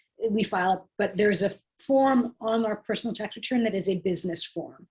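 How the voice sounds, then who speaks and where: A woman's somewhat breathy, fairly high voice at a fairly quick pace, with ordinary pitch variation. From Canada. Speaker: tax workshop presenter. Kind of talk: Q&A answering questions in workshop.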